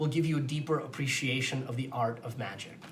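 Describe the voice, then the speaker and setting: A man rushes along at a very fast pace, with audible room echo and noticeable background noise in the recording. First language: not English. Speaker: magician. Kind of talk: magic demonstration and explanation. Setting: on camera with a host.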